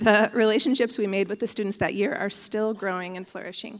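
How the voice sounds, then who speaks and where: A fairly quick, fairly high-pitched woman's voice with an American accent, a plain, everyday voice. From Oregon, US. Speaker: church member giving testimony. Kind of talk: testimony. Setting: church.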